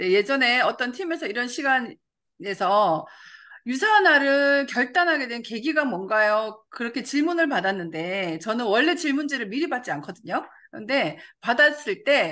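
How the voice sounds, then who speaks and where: Over a quiet background, a woman with a high pitch and a bright, sharp tone talks at a moderate pace with very wide pitch swings. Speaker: network marketing leader. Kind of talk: motivational talk. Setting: video call.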